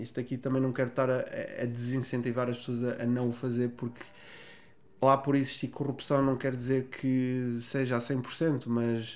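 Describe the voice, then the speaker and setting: A man talks at a medium pitch and a moderate pace, his intonation monotone and flat. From northern Portugal, Vila Real. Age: 30s. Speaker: pro bodybuilder and online fitness coach. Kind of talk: casual interview chat.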